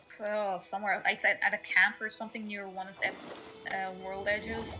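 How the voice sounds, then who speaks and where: Music plays in the background as a woman speaks at a moderate pace. Her pitch is medium and her intonation monotone and flat. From Poland, Pomerania. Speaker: co-player in a game stream. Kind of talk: casual chat.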